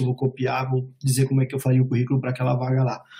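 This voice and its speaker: A man speaks at a medium pitch with a somewhat breathy, dark and mellow tone. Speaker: immigration and job advisor. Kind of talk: webinar presentation. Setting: online webinar call.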